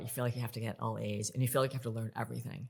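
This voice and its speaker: Vocal fry runs through this woman's speech. She talks with an American accent. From upstate New York, US. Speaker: leadership author, communication coach. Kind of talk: interview conversation.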